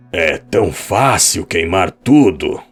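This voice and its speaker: A man puts on a character voice, raspy and very deep. He speaks at a very slow pace, with music in the background. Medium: read story. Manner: cold, indifferent.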